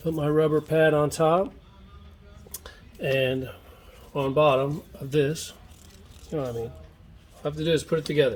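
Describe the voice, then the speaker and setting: Moderate pace over noticeable background noise. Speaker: DIY video maker. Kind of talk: tutorial.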